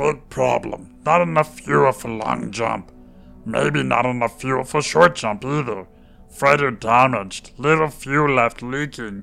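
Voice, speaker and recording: A man puts on a croaky character voice at a medium pitch, speaking at a fairly slow pace over faint background music. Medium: read story. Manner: broken clipped speech, frantic, barking orders.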